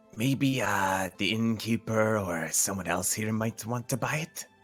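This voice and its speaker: A man uses a put-on character voice at a medium pitch. He goes at a fairly slow pace, with faint music in the background. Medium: actual play. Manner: snide, dry.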